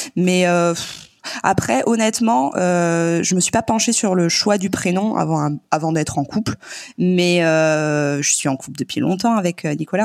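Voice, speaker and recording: Her fairly low voice moves with ordinary pitch variation at a fairly slow pace, and the recording is very clean with a silent background. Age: 30s. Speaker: nurse and mother. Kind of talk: casual chat. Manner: hesitant, many fillers.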